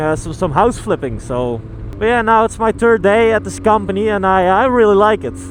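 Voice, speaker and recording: Noticeable background noise accompanies a man with a high pitch who speaks at a fairly quick pace with lively intonation. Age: young. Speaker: motovlogger, construction worker. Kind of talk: casual vlog monologue. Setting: riding a motorcycle outdoors. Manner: halting, many fillers.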